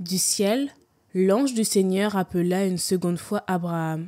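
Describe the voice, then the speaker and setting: Very slowly, a woman speaks in a dark, mellow tone on a very clean recording with a silent background. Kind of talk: scripture reading.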